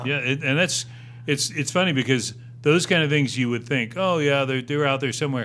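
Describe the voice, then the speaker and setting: With ordinary pitch variation, this man's speech runs at a fairly quick pace. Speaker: podcast host, interviewer. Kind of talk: casual podcast interview.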